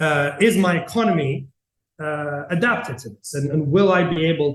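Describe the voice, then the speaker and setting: Somewhat breathy, a man with a Greek accent speaks using lively intonation. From Greece. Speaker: tech company CEO. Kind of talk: interview. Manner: halting, many fillers and repetitions.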